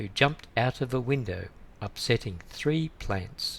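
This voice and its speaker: A man's somewhat breathy voice at a fairly slow pace, with ordinary pitch variation. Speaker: English teacher. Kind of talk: read story. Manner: clear, slow.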